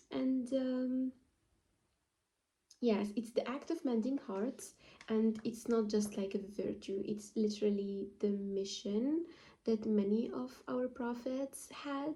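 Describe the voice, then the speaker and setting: With a non-native accent, a woman speaks very slowly in a dark, mellow tone at a fairly high pitch. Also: ordinary pitch variation. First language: not English. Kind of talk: casual talk to camera. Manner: halting, many fillers.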